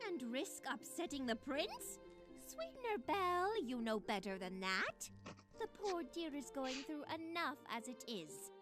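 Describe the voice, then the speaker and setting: Over clear music in the background, a woman performs a put-on character voice at a high pitch and a fairly slow pace. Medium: audio drama. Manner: refined, genteel, says "darling".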